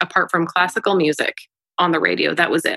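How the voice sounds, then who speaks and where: A woman talks at a fairly quick pace in a fairly low pitch. Her tone is bright and sharp, and her intonation fairly even. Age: 30s. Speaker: singer-songwriter and voiceover artist. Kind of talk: casual chat. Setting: video call.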